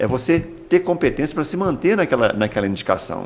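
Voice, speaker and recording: The man's pitch moves through very wide swings. He talks at a fairly quick pace. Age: 60s. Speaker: agricultural school director. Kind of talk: interview. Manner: halting, many repetitions.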